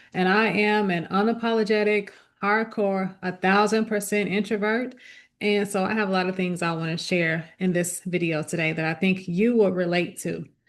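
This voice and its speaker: At a moderate pace comes a plain, everyday voice with fairly even intonation. The background is quiet. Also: woman, medium pitch for a woman. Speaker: lifestyle vlogger. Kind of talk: casual talk to camera.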